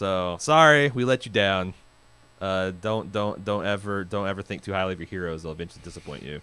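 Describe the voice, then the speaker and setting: On a very clean recording with a silent background, a man with an American accent talks at a fairly quick pace in a bright, sharp tone, his fairly low pitch showing ordinary variation. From US Midwest. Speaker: podcast host. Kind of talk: casual chat.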